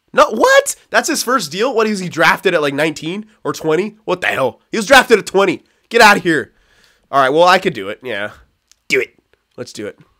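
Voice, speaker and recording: A man projects a raised, high-pitched voice with a bright, sharp, animated tone, very wide pitch swings and a fairly quick pace on a very clean recording with a silent background. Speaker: gaming streamer. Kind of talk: live gameplay commentary.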